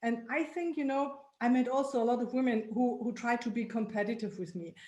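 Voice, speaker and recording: A woman with a German accent speaks at a high pitch and a fairly quick pace, with ordinary pitch variation. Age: old. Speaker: women's club founder. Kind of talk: group video meeting discussion. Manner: halting.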